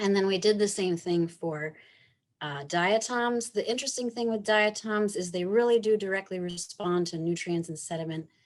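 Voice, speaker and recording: A woman talks at a moderate pace with ordinary pitch variation. It is a normal speaking voice. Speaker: researcher presenting at a conference. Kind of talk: conference presentation.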